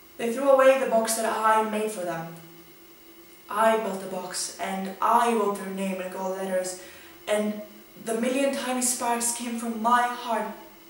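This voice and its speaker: Here a woman talks at a fairly slow pace with a fairly high pitch and ordinary pitch variation. Audible room echo surrounds her voice. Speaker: spoken word poet. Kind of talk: spoken word poetry reading. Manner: emotional, reflective. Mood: emotional, hurt, questioning.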